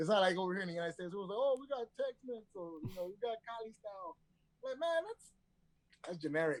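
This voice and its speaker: With a Spanish accent, a man speaks at a very fast pace, his pitch high and his intonation lively. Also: dry, close sound with no echo. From Detroit. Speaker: chef. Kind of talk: casual chat.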